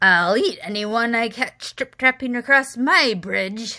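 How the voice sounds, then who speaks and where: In a put-on character voice, a woman growls at a fairly high pitch and a fairly slow pace. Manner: fierce, growling, menacing.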